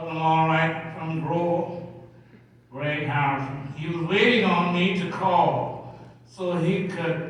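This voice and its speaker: With an American accent, the speaker talks at a very slow pace in a monotone, flat intonation, with audible room echo and noticeable background noise. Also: man. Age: 80s+. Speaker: pastor. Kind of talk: sermon.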